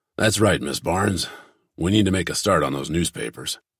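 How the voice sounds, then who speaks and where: Using a put-on character voice, a man speaks at a fairly quick pace with a very deep, low pitch, a raspy texture, and lively intonation. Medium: read story.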